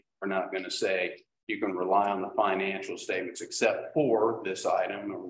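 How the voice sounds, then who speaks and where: There is audible room echo and light background noise as a man talks. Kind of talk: presentation to a public meeting. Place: meeting room.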